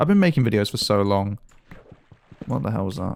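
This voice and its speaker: His voice fairly low and marked by vocal fry, a man speaks. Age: young. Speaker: YouTuber, gaming commentator. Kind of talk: casual gameplay commentary. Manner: fast; halting.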